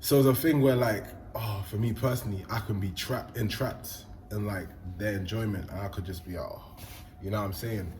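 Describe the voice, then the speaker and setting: Somewhat breathy and fairly low in pitch, a man speaks at a fairly quick pace with audible room echo. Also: ordinary pitch variation. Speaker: podcast host. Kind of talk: casual chat.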